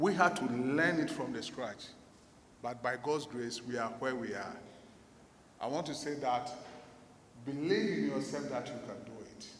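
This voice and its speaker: With audible room echo and noticeable background noise, a man of medium pitch talks at a moderate pace, using ordinary pitch variation, big swings in loudness and long, frequent pauses. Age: 60s. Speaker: business owner and conference speaker. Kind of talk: motivational conference talk.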